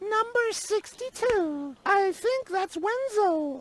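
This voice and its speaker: This put-on character voice is squeaky and extremely high, delivered at a very slow pace. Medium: video game.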